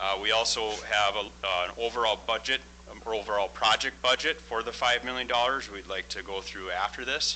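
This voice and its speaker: A man's fairly low, bright and sharp voice with vocal fry, fairly quick and with hardly any pauses, showing ordinary pitch variation. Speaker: construction project manager. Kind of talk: business presentation.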